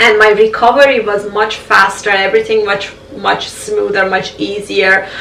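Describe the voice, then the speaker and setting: Over noticeable background noise and audible room echo, a woman talks at a moderate pace in a monotone, flat intonation. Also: medium pitch for a woman. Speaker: vlogger sharing health journey. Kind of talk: personal vlog testimony.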